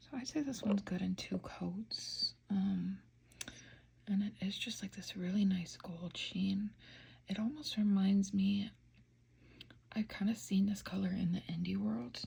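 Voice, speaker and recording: Soft-spoken and fairly slow, a woman talks with long, frequent pauses. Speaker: nail polish reviewer. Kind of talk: casual ASMR talk to camera. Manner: soft-spoken, slow.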